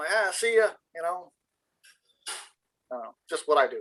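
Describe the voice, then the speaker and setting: A man talks in a high, bright, sharp, animated voice at a fairly quick pace. His loudness swings widely, with long, frequent pauses. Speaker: tradesman, shop worker. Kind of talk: casual chat. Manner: animated storytelling.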